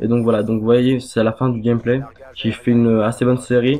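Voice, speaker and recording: A man talks at a fairly quick pace with a medium pitch and a monotone, flat intonation. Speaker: gaming youtuber. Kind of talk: gameplay commentary. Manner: halting, many fillers. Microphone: poor quality microphone.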